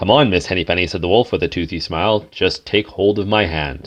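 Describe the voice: What we hear is plain reading aloud.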